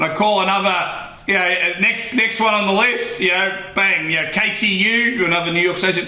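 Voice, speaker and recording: Here a man speaks in a high voice at a moderate pace, with very even loudness and fairly even intonation. He hardly pauses, and noticeable background noise is present. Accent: Australian. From Australia. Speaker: radio host. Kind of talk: casual interview answer.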